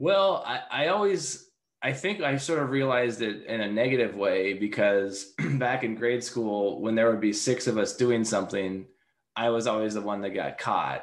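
With an American accent and a plain, everyday voice, the man talks at a moderate pace in a medium pitch with lively intonation. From Seattle. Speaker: tech company founder and CEO. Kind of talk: interview.

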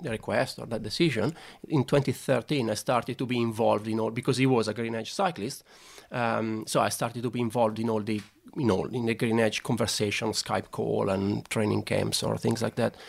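A man with an Italian accent at a medium pitch and moderate pace, with ordinary pitch variation and vocal fry. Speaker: sports scientist. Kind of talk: interview conversation. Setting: studio. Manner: halting, hesitant with repeated words.

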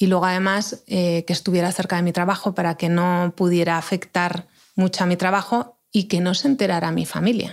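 A woman with a fairly low pitch, fairly even intonation, very even loudness and hardly any pauses, on a very clean recording with a silent background. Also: fairly quick pace. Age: 40s. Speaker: mother of gifted children. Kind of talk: interview. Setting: studio.

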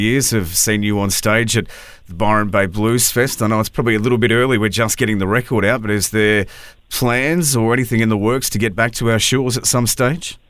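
A man talks at a very fast pace in an Australian accent, his loudness very even and his intonation fairly even. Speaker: radio host and podcaster. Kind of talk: interview. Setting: studio.

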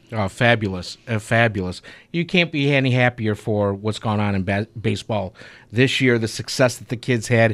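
An ordinary speaking voice: a man with an American accent, medium in pitch, with ordinary pitch variation. He speaks at a moderate pace on a very clean recording with a silent background. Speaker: radio show host. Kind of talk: casual radio sports talk. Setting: radio studio.

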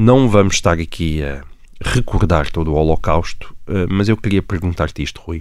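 A man with a European Portuguese accent and a very deep, low pitch, on a very clean recording with a silent background. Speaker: journalist, podcast host. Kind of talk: podcast conversation.

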